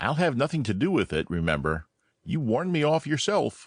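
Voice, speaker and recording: Against a quiet background, a man puts on a character voice with a fairly high pitch and a fairly quick pace. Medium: audio drama. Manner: hesitant, mild.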